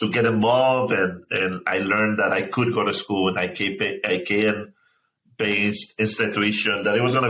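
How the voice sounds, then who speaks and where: With a Spanish accent, a man speaks at a moderate pace in a bright, sharp tone, his pitch fairly low, his intonation fairly even and his loudness very even. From Mexico, small town; moved to Chicago suburb at 15. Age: 30s. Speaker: nonprofit founder. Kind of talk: interview. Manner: halting, many repetitions.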